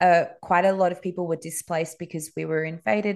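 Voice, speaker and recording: A woman's fairly low voice with fairly even intonation, over a quiet background. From Dubai, moved to Sydney around grade six. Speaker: Montessori school owner and educator. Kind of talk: interview conversation.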